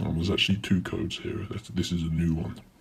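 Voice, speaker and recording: A man with a British accent has a very deep, low voice that sounds somewhat breathy. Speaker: YouTuber. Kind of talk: tutorial. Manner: casual.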